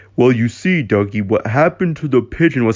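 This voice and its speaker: A man uses a put-on character voice at medium pitch. He moves at a fairly quick pace with lively intonation. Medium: read story. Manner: mopey.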